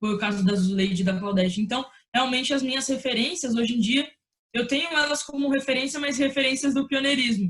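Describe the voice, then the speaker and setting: A fairly quick pace from a woman with a high-pitched voice. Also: ordinary pitch variation, very even loudness. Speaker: sports broadcaster. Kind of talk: interview answer.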